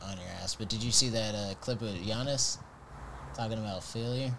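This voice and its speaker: With audible room echo around him, a man speaks fairly quickly at medium pitch, his intonation fairly even. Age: 20s. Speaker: podcast co-host. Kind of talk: casual chat. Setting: back porch. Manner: laid-back.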